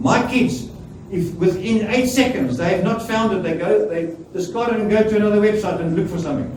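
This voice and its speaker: A man's high-pitched voice at a moderate pace with ordinary pitch variation, noticeable background noise and audible room echo. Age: 70s. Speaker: preacher. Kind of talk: sermon.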